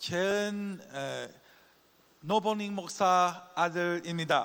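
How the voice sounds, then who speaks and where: In an English accent, a man speaks at a very slow pace with a high pitch. His intonation is fairly even, and audible room echo is present. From Singapore and Taiwan, Chinese-speaking Asia. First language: English (speaking Korean). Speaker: missionary. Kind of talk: conference speech with interpreter.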